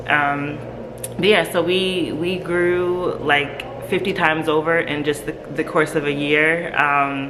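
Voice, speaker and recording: A woman's very deep, low voice at a very slow pace, fairly even in intonation, with audible room echo and noticeable background noise. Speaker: nonprofit founder. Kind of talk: interview. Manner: casual, hesitant with fillers.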